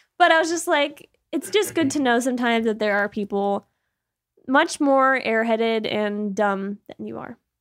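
With an American accent and a normal speaking voice, a woman talks at a moderate pace in a fairly high pitch, her intonation lively and her loudness swinging widely, the sound dry and close with no echo. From Massachusetts, US. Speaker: podcast co-host. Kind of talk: casual banter. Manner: profane, joking.

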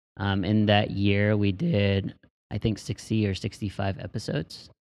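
Fairly slow and fairly low, a man with a plain, everyday voice speaks with an American accent. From Texas. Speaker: podcast host. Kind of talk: casual chat.

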